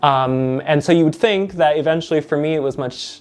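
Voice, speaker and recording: A man uses a normal speaking voice, fairly high in pitch, at a moderate pace. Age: 30s. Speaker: university lecturer. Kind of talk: interview testimony.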